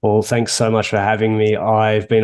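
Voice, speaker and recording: A man's fairly low voice with an Australian accent. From Australia, Melbourne. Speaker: coach of sports coaches and author. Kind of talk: interview.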